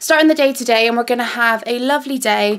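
This woman's pitch moves in an ordinary way. She talks at a fairly quick pace. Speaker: vlogger. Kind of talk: casual vlog chat. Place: home room. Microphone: phone near.

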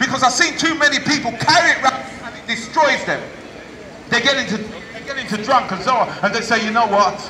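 Noticeable background noise sits behind a voice whose pitch swings very widely. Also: man. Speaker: street preacher. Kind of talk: street sermon. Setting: outdoors. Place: street. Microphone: camera far.

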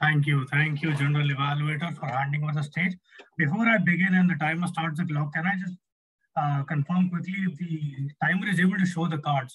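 A man at a fairly quick pace with fairly even intonation, over light background noise. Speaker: speech evaluator. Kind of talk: speech evaluation. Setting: video call. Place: home room. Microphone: webcam.

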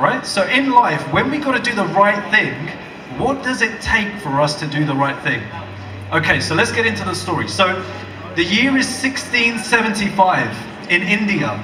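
A man speaks in a raised, projected voice at a moderate pace. Noticeable background noise runs behind him. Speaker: speaker. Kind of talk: public speech, storytelling. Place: stage.

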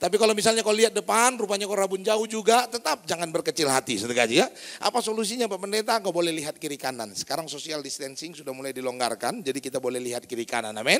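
Animated and very fast, a man talks at a high pitch with very wide pitch swings. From North Sumatra, Indonesia (Batak). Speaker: pastor. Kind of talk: sermon. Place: church.

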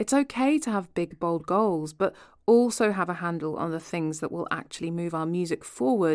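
In a very clean recording with a silent background, a woman uses a normal speaking voice, fairly low in pitch, with lively intonation and a moderate pace. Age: 30s. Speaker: podcast host. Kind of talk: casual chat; scripted narration.

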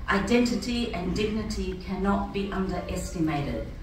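Audible room echo and light background noise surround the recording. A woman speaks at a moderate pace. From Fiji, Rotuman. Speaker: church speaker. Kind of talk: prepared speech. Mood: earnest, reflective. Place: hall. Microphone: camera far.

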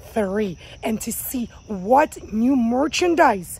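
A somewhat breathy woman with a dark, mellow tone and lively intonation speaks in a dry sound with no echo. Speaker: gardening vlogger. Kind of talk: casual vlog chat. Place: garden. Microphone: phone near.

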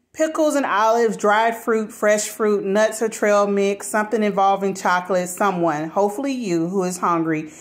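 A woman at a moderate pace with hardly any pauses and ordinary pitch variation. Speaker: home vlogger. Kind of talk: casual vlog chat. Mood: chatty, a bit apologetic. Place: kitchen. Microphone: phone near.

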